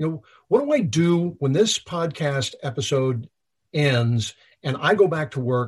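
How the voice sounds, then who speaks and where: Somewhat breathy and fairly high-pitched, a man speaks at a fairly slow pace against a quiet background. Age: 50s. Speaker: leadership trainer, former FBI agent. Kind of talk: interview. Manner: repetitive stammering.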